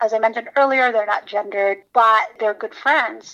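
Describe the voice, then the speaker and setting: Her voice has a bright, sharp tone and fairly high pitch. The woman keeps her intonation fairly even. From Philippines. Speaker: children's book author. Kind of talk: interview.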